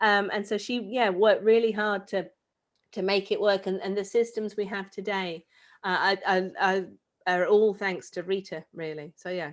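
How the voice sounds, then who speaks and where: Medium-pitched woman's voice with a British accent, fairly even intonation and a moderate pace, in a very clean recording with a silent background. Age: 30s. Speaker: space expert and author. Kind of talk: talk to children.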